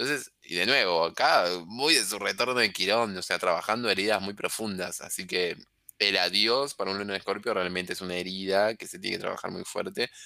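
A bright, sharp tone with ordinary pitch variation. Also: man, fairly low pitch for a man, fairly quick pace, very clean recording, silent background. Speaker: astrologer. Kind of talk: casual chat. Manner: animated.

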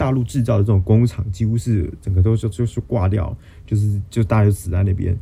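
A man's fairly low, somewhat breathy voice with a dark, mellow tone, a Taiwanese accent and a fairly quick pace. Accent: Taiwanese Mandarin. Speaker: podcast host, finance news. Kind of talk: solo explainer monologue. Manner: self-correcting, with hesitations.

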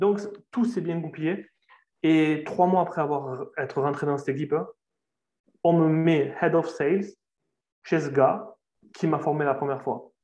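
A man's dark, mellow voice, fairly high-pitched, at a fairly slow pace with long, frequent pauses and ordinary pitch variation. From southern France. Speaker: sales closer. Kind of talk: interview.

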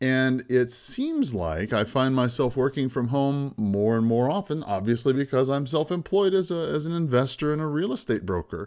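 Speaking at a moderate pace with hardly any pauses, a man at medium pitch has a plain, everyday voice and lively intonation. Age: 50s. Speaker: podcast host, real estate investor. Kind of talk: solo podcast monologue.

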